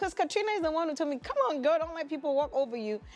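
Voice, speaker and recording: A woman talks with very wide swings in pitch. Noticeable background noise runs behind her. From Africa. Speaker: talk show co-host. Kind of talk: casual chat. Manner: fast when agitated.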